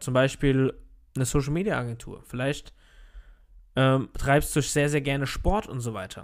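A plain, everyday voice speaks at a moderate pace in a very clean recording with a silent background. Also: man. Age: 30s. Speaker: podcast host, network marketer. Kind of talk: solo motivational monologue. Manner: casual, filler-heavy.

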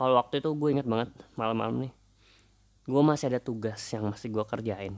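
The man's pitch is medium, and his intonation is fairly even. He speaks at a very fast pace. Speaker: podcaster. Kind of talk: casual monologue. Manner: halting, many fillers.

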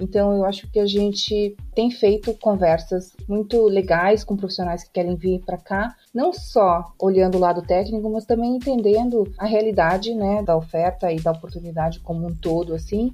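A woman's medium-pitched, dark, mellow voice at a moderate pace, fairly even in intonation, with big swings in loudness and hardly any pauses. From Rio Grande do Sul, southern Brazil. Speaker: tech recruiter. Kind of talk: interview.

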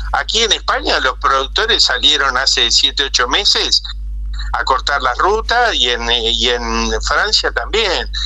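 Over noticeable background noise, a man speaks at a very slow pace with very even loudness. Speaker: agricultural specialist and broadcaster. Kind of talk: interview.

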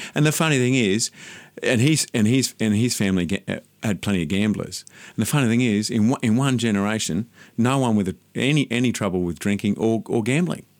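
In an Australian accent, a man talks at a fairly quick pace. His pitch is medium with ordinary variation, and the recording is very clean with a silent background. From Sydney, Australia (western suburbs). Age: 50s. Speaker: landscape gardener. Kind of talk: interview. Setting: studio.

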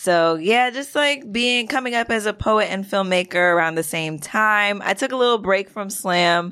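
A normal speaking voice with an American accent and ordinary pitch variation comes through with hardly any pauses. The recording is very clean, with a silent background. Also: woman, medium pitch for a woman, moderate pace. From Brooklyn, New York. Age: 20s. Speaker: poet and filmmaker. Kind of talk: casual chat.

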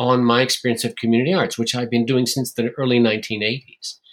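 A man talks in a plain, everyday voice with an American accent. His pitch is medium and his intonation fairly even. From US. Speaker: theatre maker and writer. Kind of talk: interview.

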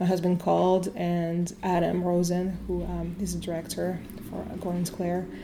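A French accent at a moderate pace. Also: woman. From France, Italian family. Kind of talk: casual interview. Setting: in her shop. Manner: halting, many fillers.

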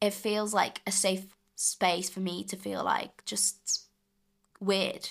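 Flat, monotone delivery with vocal fry at a very slow pace. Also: woman, medium pitch for a woman. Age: young adult, 18. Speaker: drama school student. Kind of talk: casual chat. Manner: halting.

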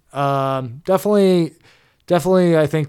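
In a very clean recording with a silent background, a man uses a plain, everyday voice at a moderate pace with ordinary pitch variation. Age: 20s. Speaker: podcast co-host. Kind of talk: casual chat.

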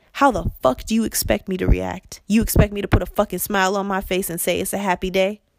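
A woman's animated, medium-pitched voice with vocal fry and ordinary pitch variation, at a very fast pace with hardly any pauses, in a dry, close sound with no echo. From United States. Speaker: podcast host. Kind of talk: impassioned monologue.

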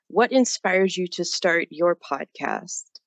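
In a plain, everyday voice, a woman speaks at a fairly slow pace and fairly low pitch, the sound dry and close with no echo. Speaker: podcast interviewer. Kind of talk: interview.

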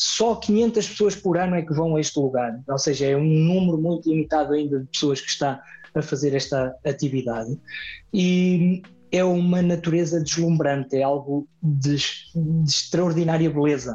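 At a moderate pace, a man with a fairly high voice and a dark, mellow tone speaks with ordinary pitch variation. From Portugal, Vagos (Aveiro district). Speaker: mountain guide. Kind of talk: interview conversation. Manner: talkative.

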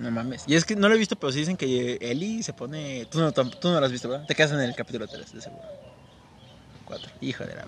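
Against noticeable background noise, a man talks at a very fast pace in a fairly high pitch, with lively intonation and big swings in loudness. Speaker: podcast co-host. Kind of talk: casual chat.

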